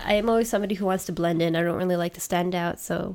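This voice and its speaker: In a Canadian accent, a plain, everyday voice talks at a fairly quick pace with ordinary pitch variation on a very clean recording with a silent background. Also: woman. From Canada. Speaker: streamer and podcaster. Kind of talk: casual chat.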